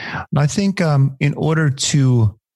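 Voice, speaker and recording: A somewhat breathy man with a fairly high pitch speaks at a very slow pace in a dry, close sound with no echo. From Austria. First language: German. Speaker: podcast host. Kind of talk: podcast interview.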